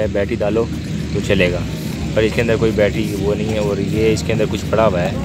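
Clear music plays behind a man's voice, and the sound is dry with no echo. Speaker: vlogger unboxing a mic. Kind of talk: casual unboxing commentary. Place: open country. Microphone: phone near.

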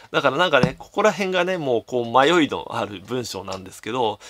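A man's bright, sharp tone with vocal fry and very wide pitch swings, at a fairly quick pace against a quiet background. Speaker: game collector YouTuber. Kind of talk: solo commentary video. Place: home room. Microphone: phone near.

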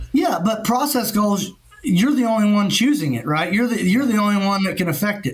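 A man with a Southern US accent, high pitch, very even loudness and a fairly quick pace. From Kentucky. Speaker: insurance claims adjuster; podcast co-host. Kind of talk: casual podcast interview. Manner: animated. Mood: relaxed, conversational. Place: home room. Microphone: webcam.

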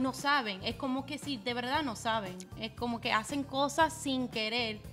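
A woman with a high-pitched voice talks at a moderate pace with ordinary pitch variation while clear music plays in the background. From United States. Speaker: Spanish-language radio host; podcast guest, radio host. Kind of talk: interview answer. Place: studio. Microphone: studio mic.

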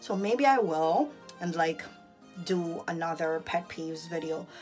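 Faint music plays behind a woman who speaks at a fairly low pitch with ordinary pitch variation. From Jamaica. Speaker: vlogger. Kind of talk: casual vlog talk to camera. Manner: chatty, animated. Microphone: phone near.

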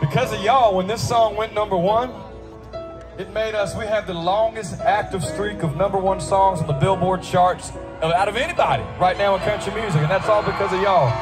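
Clear music plays in the background behind a man. He talks at a fairly quick pace with ordinary pitch variation. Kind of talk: stage banter to audience. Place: stadium.

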